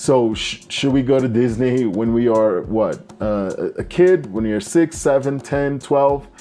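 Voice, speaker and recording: This man has a dark, mellow tone and ordinary pitch variation. He talks at a fairly slow pace. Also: medium pitch for a man, hardly any pauses. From Brazil. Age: 30s. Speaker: English teacher and expat vlogger. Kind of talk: casual talking-head vlog. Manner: halting, with frequent fillers and restarts.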